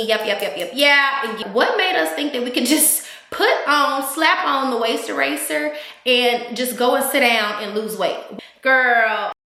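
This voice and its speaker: A woman's high-pitched voice at a fairly slow pace, lively intonation, noticeable background noise and audible room echo. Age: 30s. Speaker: fitness vlogger. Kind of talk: casual chat. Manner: animated.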